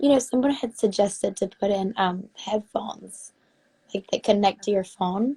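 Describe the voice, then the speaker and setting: Somewhat breathy and dark, mellow in tone, a woman speaks at a medium pitch with ordinary pitch variation and a moderate pace. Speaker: essential oil brand partner. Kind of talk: casual live chat. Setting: livestream on Instagram.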